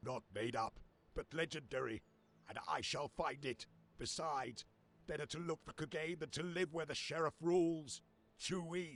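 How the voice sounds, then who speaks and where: A man puts on a raspy character voice with fairly high pitch and ordinary pitch variation. He goes at a moderate pace with long, frequent pauses in a dry, close sound with no echo. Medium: video game. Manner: earnest, weary.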